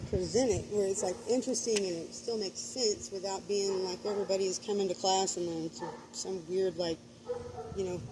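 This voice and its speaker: A woman delivers her lines fairly quickly as noticeable background noise continues. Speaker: spiritual vlogger. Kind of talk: casual livestream monologue. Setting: outdoors at night. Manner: rambling with many fillers.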